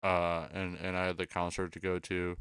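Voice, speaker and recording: A man with a very deep, low voice speaks at a moderate pace on a very clean recording with a silent background. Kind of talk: casual chat. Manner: slightly slurred.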